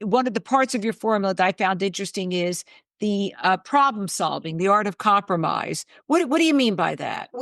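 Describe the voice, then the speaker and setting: In a plain, everyday voice, a woman with medium pitch and lively intonation speaks at a fairly quick pace, recorded dry and close with no echo. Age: 60s. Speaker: talk show host. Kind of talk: interview conversation.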